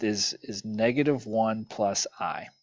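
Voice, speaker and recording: Ordinary in its pitch variation, a man's plain, everyday voice holds a medium pitch. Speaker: math teacher. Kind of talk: lecture. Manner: casual with fillers.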